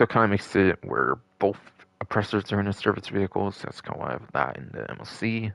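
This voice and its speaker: A man's fairly low voice at a very fast pace, lively in intonation with big swings in loudness, in a dry, close sound with no echo. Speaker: gaming livestreamer. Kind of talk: live gameplay commentary. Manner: casual, filler-heavy.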